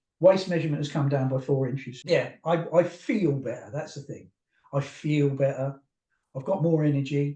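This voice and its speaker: In an English accent, a man talks at a moderate pace with a fairly high pitch, a dark, mellow tone, a somewhat breathy quality and fairly even intonation. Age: 60s. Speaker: therapist. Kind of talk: interview.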